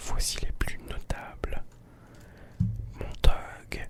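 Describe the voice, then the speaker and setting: Whispering over noticeable background noise. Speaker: ASMR content creator. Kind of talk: ASMR story time, whispered storytelling. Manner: whispered.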